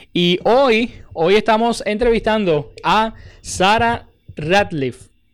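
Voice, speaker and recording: A man's voice with ordinary pitch variation comes through in a very clean recording with a silent background. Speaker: radio and podcast host. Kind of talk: radio interview. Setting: radio studio.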